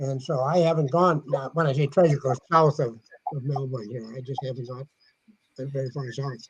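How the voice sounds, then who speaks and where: A man speaks at a fairly quick pace. His voice sits fairly high and sounds somewhat breathy. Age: 80s+. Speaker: metal detecting author. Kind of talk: casual chat.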